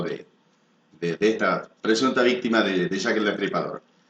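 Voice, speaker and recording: An unremarkable speaking voice from a man, moderate in pace, with lively intonation. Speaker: announcer, video program host. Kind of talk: news-style narration of a mystery to camera.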